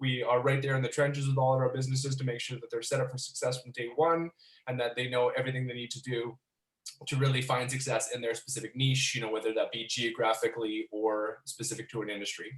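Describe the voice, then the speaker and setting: A somewhat breathy man with a Canadian accent speaks at a very fast pace and medium pitch, in monotone, flat intonation. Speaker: business expert presenter. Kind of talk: webinar presentation.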